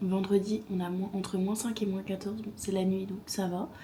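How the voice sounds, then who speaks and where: A woman speaks at medium pitch. Her intonation is flat and monotone. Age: 20s. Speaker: vlogger. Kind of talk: casual vlog talk to camera. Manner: casual, hesitant with many fillers.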